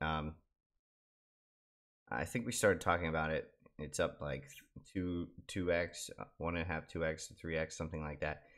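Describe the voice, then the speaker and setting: A quiet man with a very deep, low pitch, fairly even intonation and long, frequent pauses. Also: moderate pace. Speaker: crypto YouTuber. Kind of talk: casual commentary video. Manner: quiet, low voice; hesitant, many fillers.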